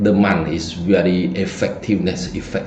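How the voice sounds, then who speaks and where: A man with a Cambodian accent speaks at a fairly low pitch. There is audible room echo and noticeable background noise. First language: Khmer. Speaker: feng shui teacher. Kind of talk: lecture. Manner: halting.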